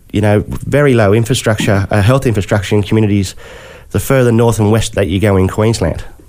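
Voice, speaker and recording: A man's fairly low voice at very even loudness, over noticeable background noise. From Western New South Wales, Australia. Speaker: podcast host, journalist. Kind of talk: interview.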